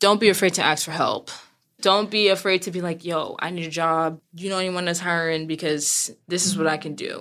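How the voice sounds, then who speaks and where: Speaking with an American accent at a moderate pace, a woman has a fairly low pitch. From US, Brooklyn, New York. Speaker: seamstress and retail worker. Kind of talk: interview. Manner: loud.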